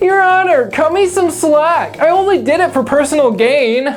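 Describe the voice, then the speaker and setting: A put-on character voice comes through at a high pitch and a moderate pace. Clear background noise sits behind it. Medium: comedy sketch.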